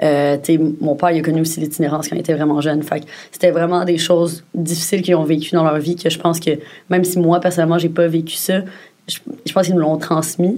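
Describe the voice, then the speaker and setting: At a very fast pace, a woman speaks in a fairly low pitch with fairly even intonation. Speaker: podcast co-host. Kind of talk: casual chat.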